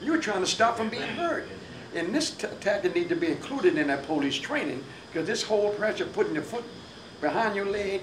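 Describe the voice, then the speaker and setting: A man's high voice at a fairly quick pace with very wide pitch swings, plus noticeable background noise and audible room echo. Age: 70s. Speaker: radio talk show host. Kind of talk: panel discussion.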